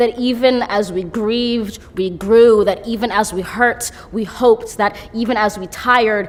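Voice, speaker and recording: With an American accent, a woman talks at a very slow pace in a fairly high pitch, her intonation fairly even over noticeable background noise. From United States. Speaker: poet. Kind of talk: poetry reading.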